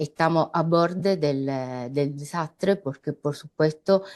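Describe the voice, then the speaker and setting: At a very slow pace, a woman talks in a very deep, low pitch. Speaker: political analyst. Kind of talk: panel discussion. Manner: halting.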